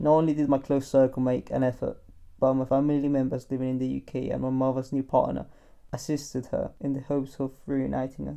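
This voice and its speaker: Over a quiet background, a man with a medium pitch and a dark, mellow tone speaks at a fairly quick pace in a flat monotone. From Colombia. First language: Spanish. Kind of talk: personal narration. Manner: reflective.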